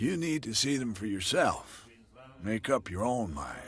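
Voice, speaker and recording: A man puts on a raspy character voice at medium pitch. He moves at a moderate pace with very wide pitch swings. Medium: video game. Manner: gruff, blunt.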